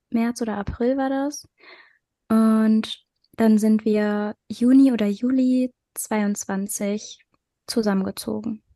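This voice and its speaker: In a dry, close sound with no echo and a quiet background, a woman with a fairly high pitch and a dark, mellow tone speaks at a very slow pace, with long, frequent pauses and fairly even intonation. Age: 20s. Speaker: podcast co-host. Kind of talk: casual chat.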